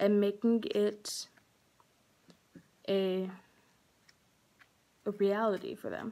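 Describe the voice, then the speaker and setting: Her tone is dark and mellow. The woman keeps her intonation fairly even. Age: young. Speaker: cosmetology student. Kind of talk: scholarship application video talk to camera. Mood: earnest, heartfelt. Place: home room. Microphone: phone near.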